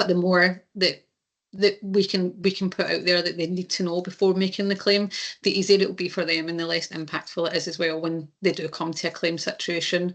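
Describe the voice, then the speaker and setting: A woman with a Scottish accent speaks at a fairly quick pace in a fairly low pitch, her intonation monotone and flat against a quiet background. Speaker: insurance claims presenter. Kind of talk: webinar presentation. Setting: online webinar. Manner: hesitant, many fillers.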